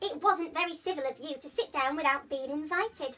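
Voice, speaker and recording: A woman's squeaky, high put-on character voice. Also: fairly quick pace. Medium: read story.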